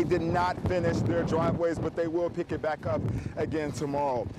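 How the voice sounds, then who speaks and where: Over noticeable background noise, a man speaks fairly quickly in a high pitch with fairly even intonation. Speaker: TV news reporter. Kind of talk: television news report, live stand-up and package narration.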